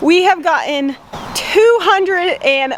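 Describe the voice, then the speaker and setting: Lively intonation and an American accent come through over noticeable background noise. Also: woman. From Rhode Island. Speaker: farm vlogger. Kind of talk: casual vlog talk.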